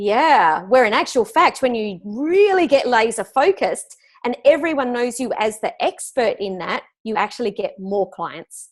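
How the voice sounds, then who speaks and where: Speaking with an Australian accent, a woman's high voice swings very widely in pitch. She keeps a moderate pace with hardly any pauses. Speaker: business coach. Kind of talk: interview.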